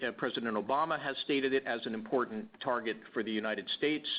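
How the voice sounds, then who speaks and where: Fairly even intonation from a male speaker. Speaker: transportation energy researcher. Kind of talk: webinar presentation. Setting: webinar. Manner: loud; hesitant with many fillers.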